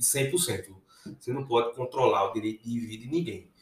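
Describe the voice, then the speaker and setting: The pitch of this man's voice swings very widely. He talks at a fairly quick pace. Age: 30s. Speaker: emergency physician. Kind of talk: casual interview chat. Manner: halting, repeats words.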